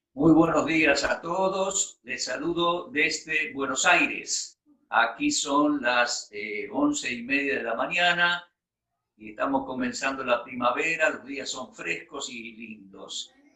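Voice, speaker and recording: A man's fairly high voice, very slow, with ordinary pitch variation and big swings in loudness. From Argentina. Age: 60s. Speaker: bible teacher. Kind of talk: personal testimony in a talk.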